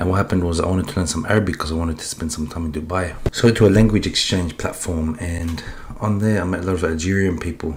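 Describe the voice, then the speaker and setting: Through noticeable background noise, a man with an Australian accent talks at a very fast pace in a very deep, low pitch with fairly even intonation. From Australia, Sydney. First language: Polish. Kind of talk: testimony. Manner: halting.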